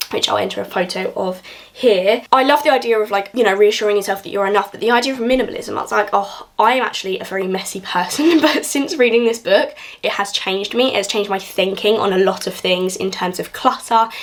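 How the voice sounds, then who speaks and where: With a southern English accent, a woman races along at a very fast pace with hardly any pauses, her fairly high voice showing ordinary pitch variation over noticeable background noise. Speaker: book YouTuber. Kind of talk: casual vlog book review.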